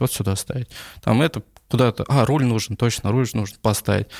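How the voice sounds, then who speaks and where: A man with a normal speaking voice talks at a fairly quick pace with ordinary pitch variation, recorded very cleanly against a silent background. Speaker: coffee business owner. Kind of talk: casual interview.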